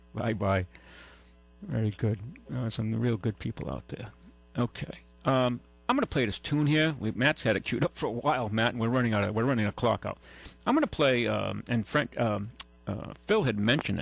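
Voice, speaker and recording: With a Massachusetts accent and vocal fry, a man speaks at medium pitch and a fairly quick pace, with ordinary pitch variation and long, frequent pauses, in a dry, close sound with no echo. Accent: southeastern New England (Massachusetts). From New Bedford, Massachusetts. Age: 60s. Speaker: radio host, car dealer. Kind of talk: call-in radio show. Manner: halting, repetitive.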